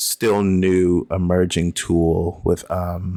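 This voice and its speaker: The speaker is a man. His voice is very deep and low. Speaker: podcast host. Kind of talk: casual solo podcast monologue. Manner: rambling with many fillers.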